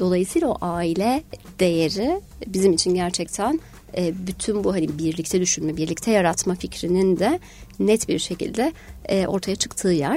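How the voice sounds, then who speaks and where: Her tone dark and mellow, a woman speaks at medium pitch and a moderate pace, with very even loudness and ordinary pitch variation. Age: 40s. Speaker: human resources director. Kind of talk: radio interview. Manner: many hesitation fillers.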